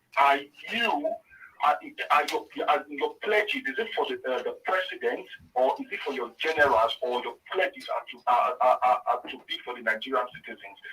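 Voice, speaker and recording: A man at a moderate pace with big swings in loudness, music in the background. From Nigeria, Benin City. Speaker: caller. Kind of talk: emotional call-in contribution. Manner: halting, repeating words.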